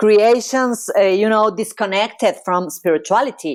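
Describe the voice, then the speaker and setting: A woman speaks fairly slowly at a fairly high pitch with a Spanish accent. The recording is very clean, with a silent background. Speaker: psychologist. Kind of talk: interview.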